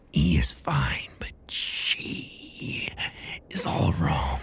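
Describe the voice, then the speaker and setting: Whispering in a put-on character voice, the speaker goes at a very slow pace. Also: man. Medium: read story. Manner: unsettling, ominous.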